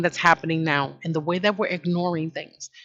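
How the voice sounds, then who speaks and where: This woman, speaking with a New York accent, has a fairly low pitch. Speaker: online commentary host. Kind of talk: casual monologue commentary. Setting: at home. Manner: conversational, with fillers and restarts.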